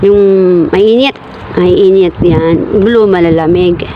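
A woman speaks at a very slow pace. There is noticeable background noise. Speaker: vlogger. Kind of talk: casual vlog narration. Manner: animated.

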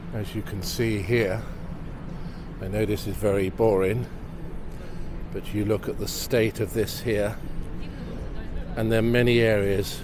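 The speech comes at a fairly slow pace with long, frequent pauses. The sound is dry with no echo, though there is noticeable background noise. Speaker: local city videographer. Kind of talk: casual walking-tour commentary. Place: street.

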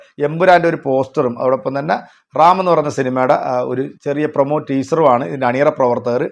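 His pitch sits fairly high and varies in an ordinary way as the man talks in a plain, everyday voice. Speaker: film news YouTuber. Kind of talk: scripted narration.

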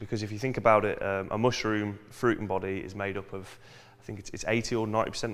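Talking at a fairly quick pace, a man uses a fairly low pitch and fairly even intonation. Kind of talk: tutorial. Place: workshop. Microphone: phone near.

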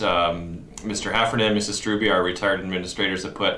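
Amid audible room echo, a man talks at a moderate pace in a monotone, flat intonation. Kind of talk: announcement to camera. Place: office.

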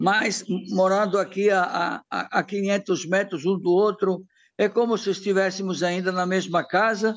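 In a quiet background, a man with an Italian accent speaks at a high pitch and a fairly slow pace, his intonation fairly even. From Italy, Bergamo; Italy. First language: Italian (speaking Portuguese). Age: 70s. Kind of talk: interview. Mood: calm, reflective. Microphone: phone near.

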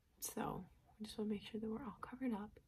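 A soft-spoken woman with a gentle tone. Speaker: beauty vlogger. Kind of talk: casual tutorial chat. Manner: soft-spoken, close, gentle ASMR voice. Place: home room. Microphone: phone near.

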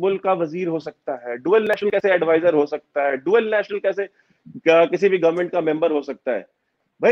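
A man at a moderate pace, lively intonation over a quiet background. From India. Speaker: geopolitical analyst. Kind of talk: interview. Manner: forthright, forceful. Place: home room. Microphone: video call.

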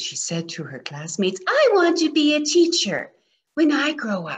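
The tone is animated and playful at a moderate pace. Behind it, the background is quiet. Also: woman. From Alberta, Canada. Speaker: storyteller, retired teacher. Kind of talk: storytelling, reading a children's picture book aloud. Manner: animated, playful, expressive. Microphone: webcam.

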